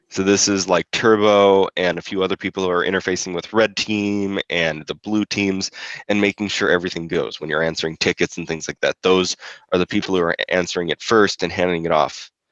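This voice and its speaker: Quiet and monotone, a man speaks with flat intonation. His very deep, low voice moves at a fairly quick pace. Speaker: competition organizer. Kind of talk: awards ceremony speech. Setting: live stream. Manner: hesitant, many fillers.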